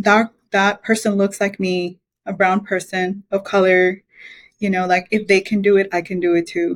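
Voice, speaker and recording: A woman at a moderate pace, with monotone, flat intonation. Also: medium pitch for a woman. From Belize. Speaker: mechanical engineer. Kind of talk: interview.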